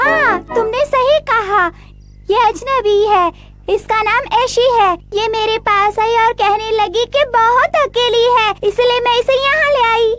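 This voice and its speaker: Extremely high-pitched, a woman performs a cartoonish character voice at a moderate pace and very even loudness. Music plays clearly in the background. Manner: friendly, open.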